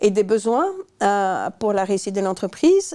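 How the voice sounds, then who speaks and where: A woman with a dark, mellow tone speaks at a moderate pace, her pitch swinging very widely. The recording is very clean, with a silent background. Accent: Belgian. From Belgium. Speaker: management consultant. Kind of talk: interview. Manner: halting, many repetitions.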